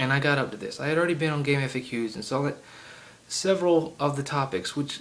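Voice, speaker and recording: Talking at a moderate pace, a man with a strong Southern US accent uses ordinary pitch variation. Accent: heavy Southern US. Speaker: gaming video creator. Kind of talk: solo rant to camera. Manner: halting, many fillers.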